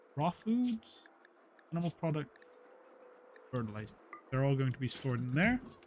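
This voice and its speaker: The somewhat breathy voice moves at a moderate pace with lively intonation and long, frequent pauses. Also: man, fairly high pitch for a man. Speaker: gaming streamer. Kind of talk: gameplay commentary.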